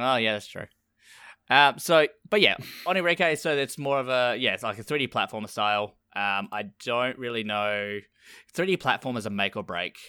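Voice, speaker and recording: A man's medium-pitched voice with a bright, sharp tone, lively intonation, a moderate pace and an Australian accent, on a very clean recording with a silent background. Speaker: podcast host. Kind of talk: casual chat.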